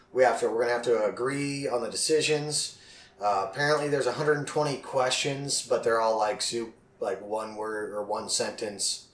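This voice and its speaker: Noticeable background noise accompanies a man speaking at a moderate pace. His pitch is medium, with ordinary pitch variation. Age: 30s. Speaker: podcast host. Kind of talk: casual chat.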